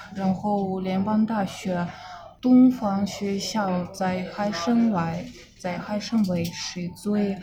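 In a Russian accent, a woman of medium pitch talks at a very slow pace with fairly even intonation, amid noticeable background noise and audible room echo. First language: Russian (speaking Chinese). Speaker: fashion model and Chinese learner. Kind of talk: interview. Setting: on location in Tokyo. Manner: halting, many fillers.

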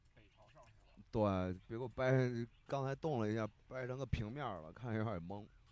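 A man's medium-pitched, animated voice at a moderate pace, with ordinary pitch variation and big swings in loudness. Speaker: podcast co-host. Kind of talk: casual chat. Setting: in a moving car.

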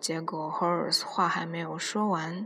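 Over noticeable background noise, a woman speaks fairly slowly at a fairly low pitch with ordinary pitch variation. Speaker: podcast host. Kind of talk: casual monologue.

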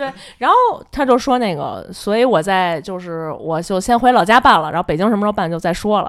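Lively intonation and a fairly quick pace in a woman's medium-pitched speech. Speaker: office worker sharing workplace stories. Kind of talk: casual chat. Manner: squeezed, pitched-up voice to disguise identity.

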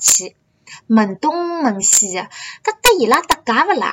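A woman's voice at a fairly slow pace, with very wide pitch swings. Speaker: student studying abroad. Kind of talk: scripted monologue.

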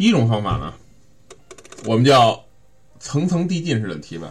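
A man talks with lively intonation, keeping a moderate pace. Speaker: sales coaching podcast host. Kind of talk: instructional monologue. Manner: casual with many fillers.

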